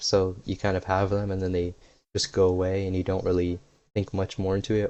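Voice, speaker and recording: A man speaks at a fairly quick pace in a fairly low voice. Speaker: YouTuber. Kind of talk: casual unscripted talk while gaming. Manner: monotone at first, livelier later.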